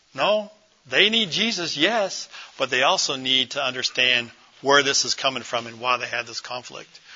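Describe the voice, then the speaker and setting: Over noticeable background noise, a man with an American accent speaks at medium pitch and a moderate pace, with lively intonation. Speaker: pastor. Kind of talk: conference talk. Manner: animated.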